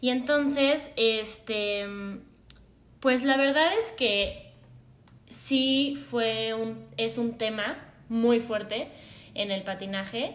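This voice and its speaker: Long, frequent pauses break up a woman's very slow speech, with ordinary pitch variation. Room echo is audible. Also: fairly high pitch for a woman. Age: 20s. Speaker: psychologist and former figure skater. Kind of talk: casual chat.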